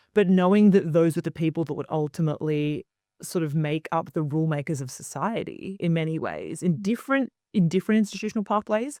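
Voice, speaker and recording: In an Australian accent, a woman with a fairly low pitch and a dark, mellow tone speaks at a fairly quick pace with hardly any pauses, on a very clean recording with a silent background and a dry, close sound with no echo. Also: ordinary pitch variation. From Australia, Queensland. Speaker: media founder and commentator. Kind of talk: interview.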